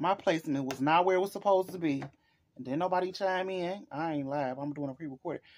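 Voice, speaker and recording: Her pace is very fast and her tone animated. The woman's pitch varies in an ordinary way. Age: 40s. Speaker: lifestyle vlogger. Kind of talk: casual chat. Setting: at home, recording herself. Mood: playful, joking complaint. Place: home room. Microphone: phone near.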